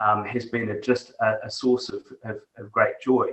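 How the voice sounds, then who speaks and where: A man talks with a New Zealand accent. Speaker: technology executive. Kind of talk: interview.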